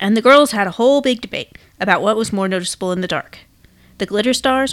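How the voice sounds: A natural reading voice with pitch that varies in an ordinary way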